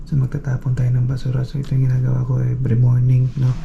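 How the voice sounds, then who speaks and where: The voice belongs to a man. Noticeable background noise runs behind him. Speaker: vlogger. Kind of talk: casual vlog.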